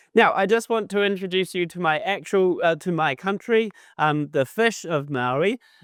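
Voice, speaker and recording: A man with a New Zealand accent speaks at a high pitch and moderate pace with lively intonation. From New Zealand, Auckland. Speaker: animation and visual effects lecturer. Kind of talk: conference talk. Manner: many fillers, halting.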